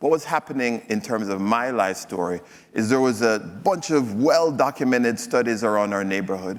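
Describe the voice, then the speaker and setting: A man with a Jamaican accent and medium pitch, lively in intonation and fairly quick in pace. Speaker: physician and health executive speaker. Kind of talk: stage presentation. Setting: stage with audience. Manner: hesitant, many fillers.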